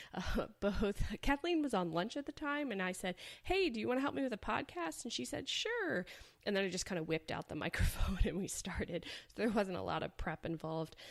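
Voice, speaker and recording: A woman at medium pitch talks fairly quickly with very wide pitch swings. There is noticeable background noise. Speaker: veterinarian and podcast host. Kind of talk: podcast monologue.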